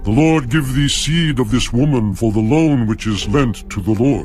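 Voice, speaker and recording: Over clear music in the background, a man in a put-on character voice uses a solemn tone, medium pitch, ordinary pitch variation and a moderate pace. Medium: audio drama. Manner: solemn, grave.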